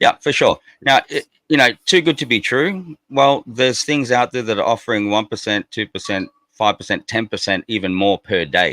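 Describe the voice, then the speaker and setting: A man with an Australian accent at medium pitch and a moderate pace, bright and sharp in tone with lively intonation, in a dry, close sound with no echo. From Australia (Darwin, Northern Territory). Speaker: crypto project representative. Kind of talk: podcast interview. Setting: live stream. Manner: casual, repetitive.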